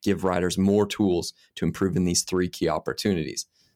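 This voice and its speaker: A plain, everyday voice from a man with an American accent, at a fairly quick pace with fairly even intonation, on a very clean recording with a silent background. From US. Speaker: mountain bike scientist and coach. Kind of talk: casual interview.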